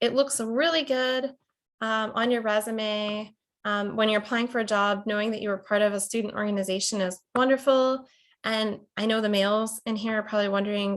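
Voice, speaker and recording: Fairly high in pitch, a woman talks with an American accent. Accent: slight Pittsburgh accent, fading. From Pittsburgh, Pennsylvania. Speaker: college instructor. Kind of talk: lecture. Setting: video call.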